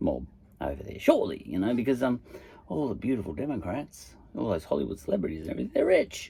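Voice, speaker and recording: Speaking very fast in an Australian accent, the voice has a dark, mellow tone, vocal fry and very wide pitch swings. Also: man. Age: 50s. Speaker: podcaster. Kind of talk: casual monologue. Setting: in a shed. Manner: hesitant, lots of fillers.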